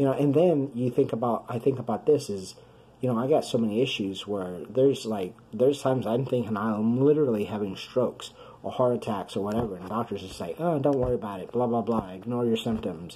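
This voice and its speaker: Noticeable background noise fills the clip. Through it, a man speaks fairly quickly. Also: medium pitch for a man, ordinary pitch variation. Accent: American. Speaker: video blogger with chronic illness. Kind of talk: personal video diary. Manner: fast; halting.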